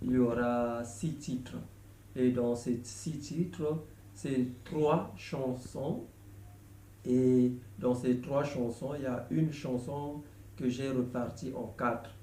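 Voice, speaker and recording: The speaker has a Congolese accent, a dark, mellow tone and a somewhat breathy sound, with ordinary pitch variation. Delivery is very slow with long, frequent pauses, and room echo is audible. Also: man, medium pitch for a man. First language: Lari (speaking French). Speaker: gospel songwriter. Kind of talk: video announcement. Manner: halting, many hesitations.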